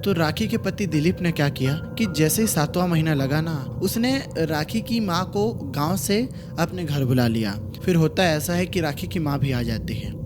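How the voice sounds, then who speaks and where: A man speaks at a moderate pace with lively intonation and a fairly high pitch. Music plays in the background. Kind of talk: horror story narration. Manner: casual, conversational storytelling.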